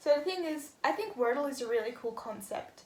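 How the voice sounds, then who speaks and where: The pace is moderate. The voice belongs to a woman. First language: not English. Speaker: vlogger. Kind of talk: casual vlog monologue. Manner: hesitant, many fillers.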